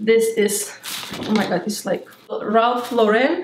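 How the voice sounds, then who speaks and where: With a slight Lithuanian accent, a woman talks at a high pitch with lively intonation over audible room echo and light background noise. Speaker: beauty YouTuber; haul vlogger. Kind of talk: haul video. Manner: animated. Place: home room.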